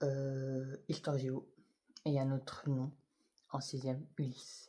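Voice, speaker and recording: A man whispers, soft-spoken and somewhat breathy. His pace is very slow. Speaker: YouTuber. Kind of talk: personal vlog testimony. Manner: halting; soft-spoken, whispery.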